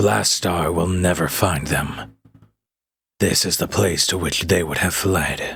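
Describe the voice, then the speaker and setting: A man's put-on character voice, very deep and low, with ordinary pitch variation and a fairly slow pace. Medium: audio drama. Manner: earnest, dignified.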